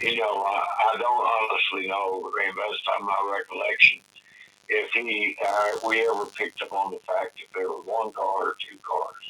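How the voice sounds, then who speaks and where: Someone talks at a moderate pace in a Tennessee accent. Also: man. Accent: Southern US (Tennessee). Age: 70s. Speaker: eyewitness. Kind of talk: interview recollection. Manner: halting, many fillers and repetitions.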